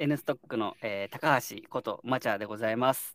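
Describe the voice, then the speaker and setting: In a very clean recording with a silent background, a man speaks at a moderate pace with a dry, close sound and no echo. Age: 30s. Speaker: startup co-founder. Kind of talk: casual chat.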